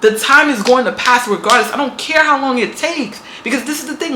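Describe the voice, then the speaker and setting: With a New York accent, a woman projects a raised, high-pitched voice with ordinary pitch variation against noticeable background noise. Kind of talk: motivational talk to camera. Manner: casual, emphatic.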